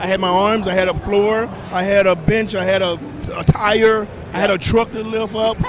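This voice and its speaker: Over noticeable background noise, a high-pitched man with an American accent speaks at a moderate pace, his intonation fairly even. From US South, small-town Mississippi. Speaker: celebrity chef and fitness personality. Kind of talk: casual interview.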